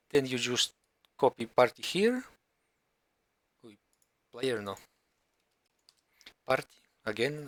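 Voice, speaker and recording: A dry, close sound with no echo frames the voice. It belongs to a man. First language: not English. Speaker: gaming tutorial creator. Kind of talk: tutorial. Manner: halting.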